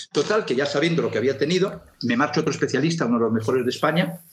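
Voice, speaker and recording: A man with a fairly high pitch speaks very fast, somewhat breathy, with lively intonation. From Galicia (Lugo), Spain. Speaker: television producer. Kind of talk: interview.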